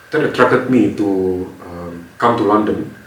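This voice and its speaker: A man at a fairly low pitch, with noticeable background noise and audible room echo. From Indonesia, then Singapore from age about 11. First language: Indonesian. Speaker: strategy consultant. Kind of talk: interview.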